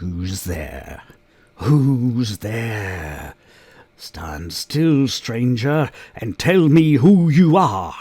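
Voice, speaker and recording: A man's growling put-on character voice at medium pitch, very slow, with very wide pitch swings. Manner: menacing, demanding.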